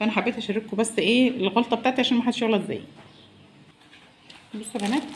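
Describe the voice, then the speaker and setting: Against noticeable background noise, a woman talks at a very fast pace with long, frequent pauses, fairly high in pitch and fairly even in intonation. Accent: Egyptian. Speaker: cooking vlogger. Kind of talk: cooking tutorial. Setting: home kitchen. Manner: soft-spoken.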